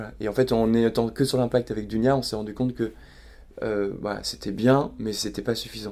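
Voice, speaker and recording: A man's dark, mellow voice at medium pitch, moderate pace and monotone, flat intonation. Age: 30s. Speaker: startup founder. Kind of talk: casual interview. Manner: halting, with frequent repetitions and fillers.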